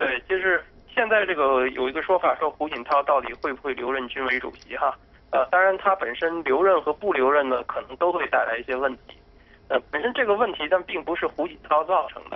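A man with a plain, everyday voice, fairly high pitch, lively intonation and big swings in loudness. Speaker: political commentator. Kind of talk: live TV commentary. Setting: remote call.

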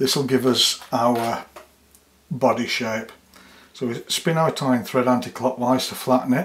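The speaker is a man with a medium pitch and fairly even intonation. He goes at a fairly slow pace, with long, frequent pauses. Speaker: fly tying instructor. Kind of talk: tutorial.

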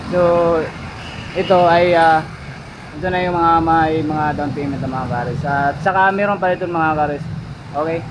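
The speech moves at a moderate pace with long, frequent pauses amid noticeable background noise. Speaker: vlogger. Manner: upbeat and enthusiastic, pushing 'sulit na ito' bargains.

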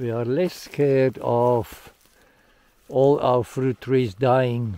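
Very slow and fairly even in intonation, a man's dark, mellow tone comes through in a dry sound with no echo. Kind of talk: casual vlog chat. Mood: calm, hopeful. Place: farm machine. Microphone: phone near.

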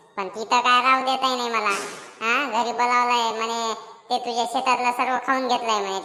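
A cartoonish character voice from a woman, high-pitched and monotone with flat intonation, at a moderate pace. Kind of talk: rustic Marathi cartoon comedy. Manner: blunt, rambling, teasing.

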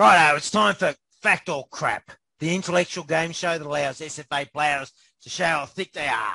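A man's high-pitched voice with an Australian accent, bright and sharp in tone, at a moderate pace, with a dry, close sound and no echo. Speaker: interview host. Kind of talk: casual interview, joking.

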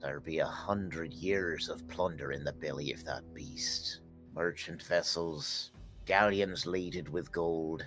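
A put-on character voice moves at a fairly slow pace. Clear music plays in the background. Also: man, very deep, low pitch for a man. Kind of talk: archaic nautical pirate speech. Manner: brooding, grave storyteller.

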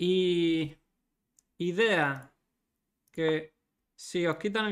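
Here a man speaks at a high pitch with ordinary pitch variation. The background is quiet. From Spain. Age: 30s. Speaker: chess grandmaster streamer. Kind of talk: live chess commentary stream. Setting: livestream. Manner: animated. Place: home room.

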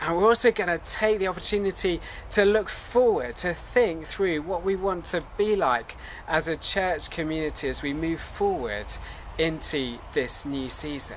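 With a high pitch, a man speaks at a moderate pace over light background noise. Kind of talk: service welcome address. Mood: warm, calm, earnest. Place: garden.

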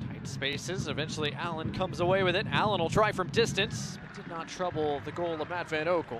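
A man talks at a high pitch with fairly even intonation and hardly any pauses. Noticeable background noise is present. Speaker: soccer play-by-play commentator. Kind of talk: live sports commentary (play-by-play). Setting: stadium broadcast, match commentary.

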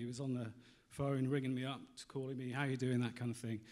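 A man with a British accent talks at a very fast pace and fairly high pitch against a quiet background. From UK. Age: 40s. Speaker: magazine editor; presenter. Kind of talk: conference talk. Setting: stage with audience. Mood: candid, reflective storytelling. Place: hall. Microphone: handheld.

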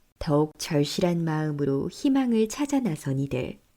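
A woman speaks at a fairly slow pace in a calm, dark, mellow tone. Her pitch swings very widely. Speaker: voice actor. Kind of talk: documentary narration.

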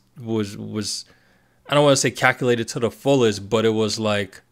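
Over a quiet background, a man talks at a moderate pace. His pitch shows ordinary variation. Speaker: reaction commentator. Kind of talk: casual commentary. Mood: reflective, earnest. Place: home room. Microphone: studio mic.

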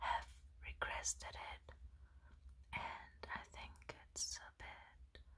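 A soft-spoken woman's whispering at a very slow pace, with long, frequent pauses. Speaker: ASMR content creator. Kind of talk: ASMR show and tell, casual talk to camera. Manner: soft-spoken, whispering.

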